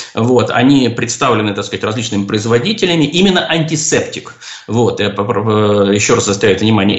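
Very fast speech from a man with lively intonation and a medium pitch. Noticeable noise sits in the background. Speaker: ophthalmologist, professor. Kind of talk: radio call-in interview. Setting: radio studio.

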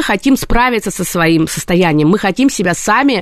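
Here is a woman with an ordinary speaking voice. She talks at a moderate pace with lively intonation. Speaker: psychologist. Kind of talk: radio talk show interview. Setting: radio studio.

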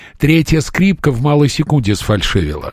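Here a man talks with a fairly high pitch. His voice is somewhat breathy, and his pace is moderate. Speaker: radio host. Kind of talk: radio interview.

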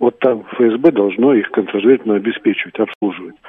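A man with a normal speaking voice talks at a moderate pace and medium pitch. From Crimea (Sevastopol). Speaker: caller, former security officer. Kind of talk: phone-in opinion. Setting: phone call.

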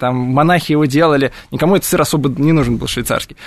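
A man talks with an ordinary speaking voice. It sits fairly high in pitch, with ordinary pitch variation. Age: 30s. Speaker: cheese shop owner and cheese expert. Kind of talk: radio interview. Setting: radio studio.

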